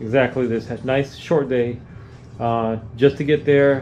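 A man at a fairly slow pace with fairly even intonation, over light background noise. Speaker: travel vlogger. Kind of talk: casual vlog chat. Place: home room. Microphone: phone near.

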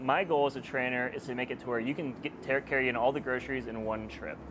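Over noticeable background noise, someone with an American accent talks at a very fast pace. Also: man. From Texas. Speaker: fitness trainer. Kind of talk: casual self-introduction to camera. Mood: friendly, playful.

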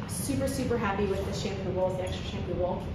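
A woman is speaking amid loud background noise. There is audible room echo. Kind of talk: casual tour guide chat. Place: shop. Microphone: phone near.

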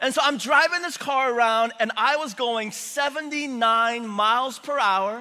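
A man's raised, projected voice at a very slow pace. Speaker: preacher. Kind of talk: sermon. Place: church.

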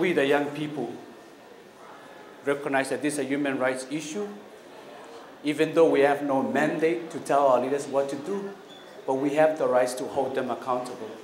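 With a Micronesian accent and fairly even intonation, the speaker moves at a moderate pace with long, frequent pauses, amid light background noise and audible room echo. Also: man, fairly high pitch for a man. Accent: Micronesian Pacific Islander English. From Kiribati and Pohnpei, Micronesia. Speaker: climate activist. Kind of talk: public speech. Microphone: camera far.

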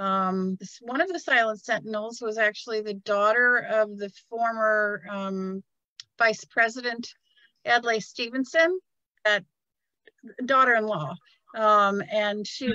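A woman speaks at a fairly slow pace with long, frequent pauses, her fairly high pitch and ordinary pitch variation carrying a bright, sharp tone. The sound is dry with no echo against a quiet background. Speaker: museum director. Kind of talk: guided virtual tour. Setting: live video stream. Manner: halting. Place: hall. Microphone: phone near.

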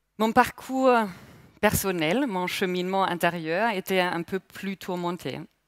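In a German accent, a woman speaks at a very slow pace with ordinary pitch variation, the sound dry with no echo and the background quiet. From Germany, Palatinate. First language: German (speaking French). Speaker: mindfulness instructor. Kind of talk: speech. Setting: stage with audience. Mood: calm, reflective, personal. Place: hall. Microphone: headset.

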